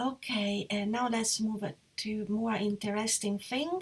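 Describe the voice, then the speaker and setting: A somewhat breathy woman with an Italian accent, fairly high in pitch, at a fairly slow pace. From Italy, Perugia. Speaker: interior designer. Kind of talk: live presentation. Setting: live online session. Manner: hesitant, with fillers.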